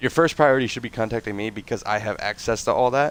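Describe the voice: A man speaks at a medium pitch with a nasal quality. His tone is clear and smooth.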